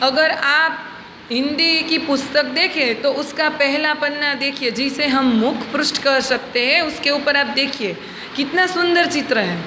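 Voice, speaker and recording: Amid noticeable background noise and audible room echo, a woman with a Gujarati accent speaks at a high pitch with ordinary pitch variation. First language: Gujarati (speaking Hindi). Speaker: schoolteacher. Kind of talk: lecture. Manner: slow, clear.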